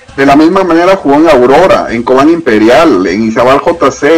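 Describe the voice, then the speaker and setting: With music in the background, a man speaks in a fairly high pitch. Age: 50s. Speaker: football fan and former acquaintance of the player. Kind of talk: casual chat.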